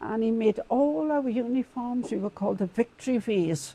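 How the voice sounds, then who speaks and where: A woman with a south Wales Valleys accent, a dark, mellow tone and ordinary pitch variation, in a dry, close sound with no echo. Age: 80s+. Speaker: community campaigner. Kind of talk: interview storytelling.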